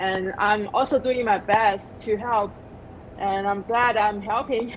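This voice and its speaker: A woman's fairly high voice with a Chinese accent, monotone and very slow, against noticeable background noise. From China. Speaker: television director. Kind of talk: interview. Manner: halting.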